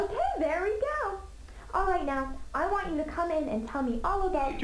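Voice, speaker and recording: A squeaky, put-on character voice runs at a fairly quick pace. Loud background noise sits behind it. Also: woman, extremely high pitch for a woman. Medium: game stream. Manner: sweet, affectionate.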